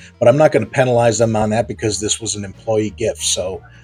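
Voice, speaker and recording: Music plays in the background as a man with a fairly low pitch talks at a very fast pace. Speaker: toy review youtuber. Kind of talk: product review. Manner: casual, conversational.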